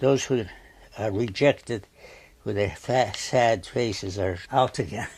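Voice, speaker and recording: This man talks at a fairly slow pace in a fairly low, somewhat breathy voice with ordinary pitch variation and long, frequent pauses. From Turkey-born Armenian, raised in New Haven, Connecticut from 12. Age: 80s+. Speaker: painter. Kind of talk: interview. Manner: halting, with repeated words and fillers.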